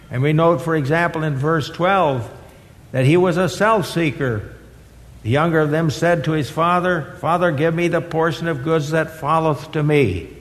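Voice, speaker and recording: A man with a fairly high pitch talks at a moderate pace, his loudness very even. Audible room echo and noticeable background noise fill the recording. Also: ordinary pitch variation. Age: 80s+. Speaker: retired seminary professor and guest preacher. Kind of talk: sermon.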